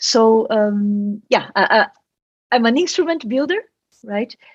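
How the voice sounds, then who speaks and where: Dry and close with no echo, a woman's fairly high voice carries a Brazilian accent. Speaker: quantum engineer, professor. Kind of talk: interview.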